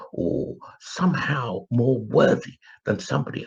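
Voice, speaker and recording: A man with an English accent. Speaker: spiritual commentator. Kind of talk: live stream monologue. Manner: hesitant, with fillers.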